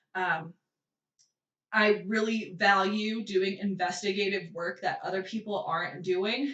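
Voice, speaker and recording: With an American accent, a woman speaks in an ordinary speaking voice at a medium pitch, keeping a fairly slow pace and fairly even intonation. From United States. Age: 20s. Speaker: independent journalist, podcast host. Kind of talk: casual political commentary podcast. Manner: casual, filler-heavy with frequent 'um'.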